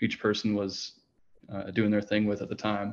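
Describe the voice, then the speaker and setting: The background stays quiet. Words come at a moderate pace. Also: man. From Minnesota. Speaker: jazz and funk saxophonist. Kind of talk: interview.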